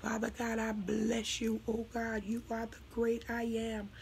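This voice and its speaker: Noticeable background noise sits behind a woman whose fairly high voice stays monotone and flat at a moderate pace. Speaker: prayer minister. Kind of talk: speaking in tongues flowing into worshipful prayer.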